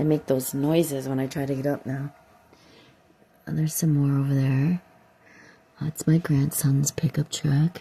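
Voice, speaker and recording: A woman with an American accent speaks in a very deep, low pitch at a moderate pace, using monotone, flat intonation and long, frequent pauses amid noticeable background noise. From upstate New York. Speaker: vlogger. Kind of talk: casual vlog walkthrough. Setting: at home, outdoors in yard. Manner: halting, many fillers.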